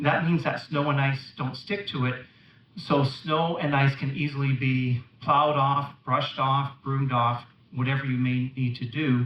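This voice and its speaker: A man with an unremarkable speaking voice, pitched fairly high, talks at a moderate pace with fairly even intonation. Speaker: company representative, conference speaker. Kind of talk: conference talk. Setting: stage with audience.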